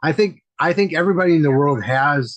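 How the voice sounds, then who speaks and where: With an American accent, a man talks at a moderate pace in a somewhat breathy voice. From US Midwest, Wisconsin. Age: 60s. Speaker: medium and mentor. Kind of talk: casual chat. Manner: repetitive, halting.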